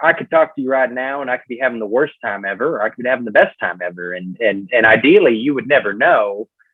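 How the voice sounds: A man talks with a Southern US accent.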